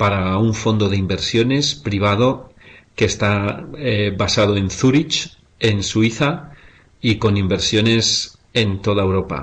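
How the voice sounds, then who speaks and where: A very slow, somewhat breathy man in a Spanish accent, fairly low in pitch, with ordinary pitch variation. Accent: Spanish (Spain). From Spain. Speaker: investment fund director. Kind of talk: webinar presentation. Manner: halting, with frequent fillers.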